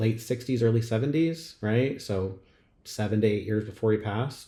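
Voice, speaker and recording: A moderate pace carries this voice along. Its tone is dark and mellow, and somewhat breathy. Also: man. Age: 40s. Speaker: podcast host. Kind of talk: casual chat.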